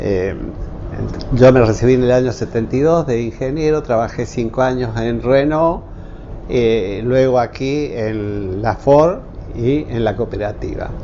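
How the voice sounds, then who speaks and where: A man speaks at a fairly slow pace, his pitch medium with ordinary variation. Noticeable background noise sits under his voice. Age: 70s. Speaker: retired engineer and technical school teacher. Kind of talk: interview testimony. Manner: halting, many fillers.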